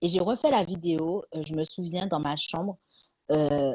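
The speaker is a woman with a fairly low pitch. Her pace is fairly slow. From Martinique. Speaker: author and life coach. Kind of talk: live-streamed interview. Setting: live stream.

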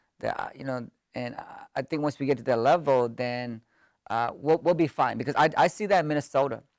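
A man with a Californian accent and a fairly high pitch speaks at a fairly quick pace in a very clean recording with a silent background. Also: ordinary pitch variation. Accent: Californian American English. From US West Coast (Sacramento, California), Hmong family. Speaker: professor. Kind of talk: casual interview. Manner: hesitant, many filler words.

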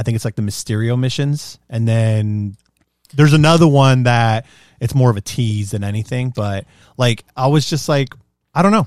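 Recorded dry and close, the sound has no echo. It is an unremarkable speaking voice at a moderate pace, its pitch varying in an ordinary way. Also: man, medium pitch for a man. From US, Mexican-American, parents from Mexico. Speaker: podcast co-host. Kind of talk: casual chat.

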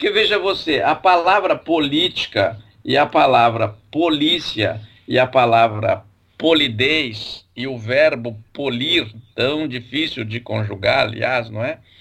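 Speaking at a very slow pace, a man with a medium pitch uses lively intonation. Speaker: language professor. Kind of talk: casual educational chat.

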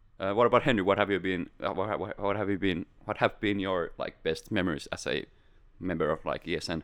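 At a moderate pace, a man with a fairly low voice speaks with fairly even intonation. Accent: Finnish. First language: Finnish. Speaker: podcast host. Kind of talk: casual chat. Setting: studio.

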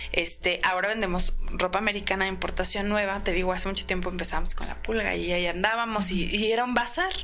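Music plays behind a woman speaking at a very fast pace with hardly any pauses. Her pitch is medium and her intonation fairly even. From Mexico City, Iztapalapa. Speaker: clothing store owner. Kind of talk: interview.

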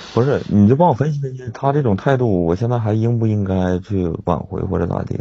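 The speech moves at a fairly quick pace with hardly any pauses and lively intonation. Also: man, medium pitch for a man. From Inner Mongolia. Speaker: caller seeking relationship advice. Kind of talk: call-in advice chat. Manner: halting.

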